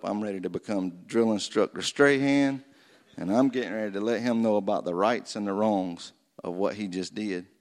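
A man's fairly low voice with a Southern US accent and ordinary pitch variation. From North Florida. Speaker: war veteran. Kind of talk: testimony. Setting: church.

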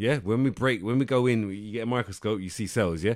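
A plain, everyday voice from a man, fairly low in pitch with ordinary pitch variation, on a very clean recording with a silent background. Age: 30s. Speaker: fitness podcast co-host. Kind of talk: casual chat; tutorial.

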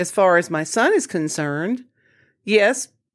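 Lively intonation marks a woman's fairly low voice with a Southern US accent. The recording is very clean, with a silent background. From US Deep South, Jackson, Mississippi. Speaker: podcast host. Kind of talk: solo podcast monologue.

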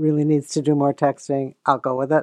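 A woman's very deep, low voice at a very fast pace, monotone and flat, dry and close with no echo over a quiet background. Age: 70s. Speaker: guest, host's mother. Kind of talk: casual interview chat.

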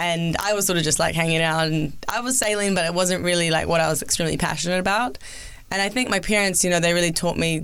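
A woman speaks very fast in a New Zealand accent, her pitch fairly low. Her loudness stays very even and her pitch varies an ordinary amount. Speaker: former Olympic skier and sports TV presenter. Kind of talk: interview.

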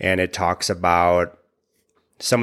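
A man with a very deep, low pitch at a fairly slow pace, in a very clean recording with a silent background. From US Midwest, small-town Wisconsin. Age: middle-aged. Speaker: podcast host. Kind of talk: solo podcast monologue. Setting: home recording. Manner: casual, conversational.

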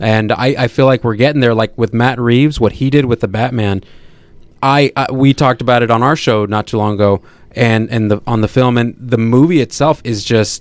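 A plain, everyday voice from a man at medium pitch, fairly even intonation and a fairly quick pace. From Sacramento, California. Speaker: podcast host and movie reviewer. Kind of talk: casual chat.

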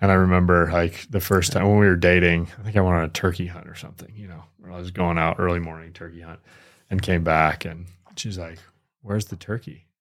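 A man with an American accent and a very deep, low pitch talks at a very fast pace in a monotone, flat intonation, his loudness swinging widely, on a very clean recording with a silent background. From Michigan. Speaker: podcast host. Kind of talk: casual chat.

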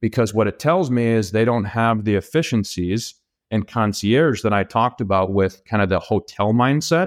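Here is a man with a normal speaking voice and an American accent, at a medium pitch and moderate pace. His loudness is very even, his pitch varies in an ordinary way, and the recording is very clean with a silent background. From Minnesota. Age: 30s. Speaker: real estate investor. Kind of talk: casual interview.

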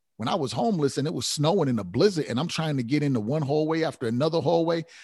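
A man speaks at a very fast pace, somewhat breathy, with ordinary pitch variation. The background is quiet. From Rhode Island, Providence. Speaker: author, speaker and education consultant. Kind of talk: podcast interview.

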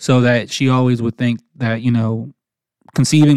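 In a normal speaking voice with an American accent, a man talks at a moderate pace and medium pitch, with fairly even intonation and a dry, close sound with no echo. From New Jersey. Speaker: podcast host. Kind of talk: personal storytelling monologue.

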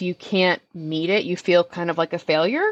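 Speaking with a medium pitch and fairly even intonation, the woman has an unremarkable speaking voice. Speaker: pelvic floor physical therapist. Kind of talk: interview.

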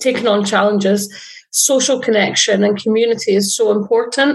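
Fairly high-pitched and somewhat breathy woman's voice, moderate pace, fairly even intonation. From central Scotland. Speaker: podcast host. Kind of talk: casual interview chat.

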